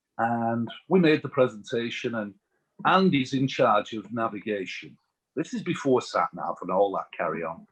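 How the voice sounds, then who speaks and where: A man of middling pitch talks at a moderate speed, his voice swinging across a very wide pitch range. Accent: English. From England. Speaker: utility industry executive. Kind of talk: podcast interview, storytelling.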